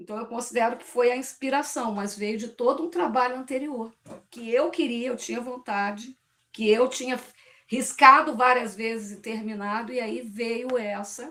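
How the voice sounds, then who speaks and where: At a moderate pace, a woman speaks in a fairly high, bright and sharp voice with fairly even intonation. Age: 60s. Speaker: poetry study group participant. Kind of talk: group discussion.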